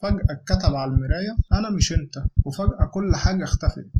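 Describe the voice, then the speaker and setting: Over music in the background, a high-pitched man speaks at a fairly quick pace with ordinary pitch variation. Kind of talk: horror story narration.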